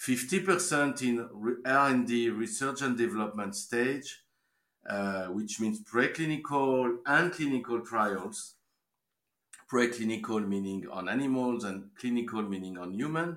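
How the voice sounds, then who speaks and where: Someone speaks very slowly in a French accent with lively intonation. The recording is very clean, with a silent background. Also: man, medium pitch for a man. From France. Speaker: life science investment banker. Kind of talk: interview.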